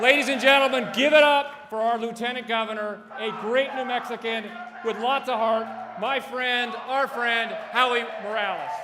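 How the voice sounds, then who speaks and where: Over noticeable background noise and audible room echo, a man projects a raised, extremely high voice at a moderate pace with fairly even intonation. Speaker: politician. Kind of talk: introduction speech. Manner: loud.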